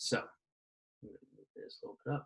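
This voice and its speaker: A man's somewhat breathy voice. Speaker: physics teacher. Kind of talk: tutorial. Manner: fast.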